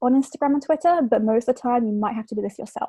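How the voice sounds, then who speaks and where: A woman speaks with an English accent and a high pitch. Her tone is dark and mellow, and the sound is dry and close with no echo. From England. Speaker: communication fellow. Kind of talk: presentation.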